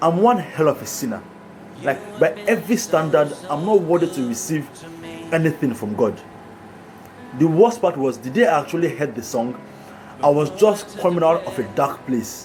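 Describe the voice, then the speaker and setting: With music in the background, a man speaks at a moderate pace in a fairly high pitch, his voice making very wide pitch swings between long, frequent pauses. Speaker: motivational speaker. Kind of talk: motivational monologue.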